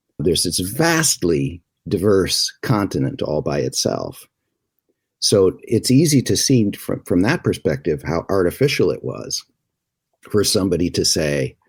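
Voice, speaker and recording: Very deep and low, a man's voice shows vocal fry and very wide pitch swings as he speaks fairly slowly. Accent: American. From US Upper Midwest. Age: 60s. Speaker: journalist and documentarian. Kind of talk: interview conversation.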